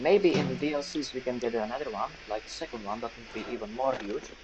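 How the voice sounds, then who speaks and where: A man talks very fast at a medium pitch, with ordinary pitch variation. Noticeable background noise sits behind him. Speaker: gaming streamer. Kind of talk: let's play commentary. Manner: stuttering; animated.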